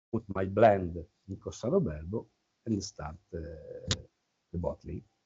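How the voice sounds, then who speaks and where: In an Italian accent, the speaker talks at a moderate pace with lively intonation and a somewhat breathy sound. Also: man. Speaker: winemaker. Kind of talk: wine tasting talk. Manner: halting.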